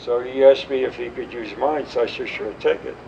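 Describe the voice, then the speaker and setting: Noticeable background noise around a man speaking at a moderate pace. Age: 80s+. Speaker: war veteran. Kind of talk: interview answer.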